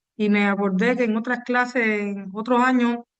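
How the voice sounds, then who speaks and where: Speaking at a moderate pace, a woman uses a fairly high pitch with monotone, flat intonation. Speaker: university lecturer. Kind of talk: lecture. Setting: video call.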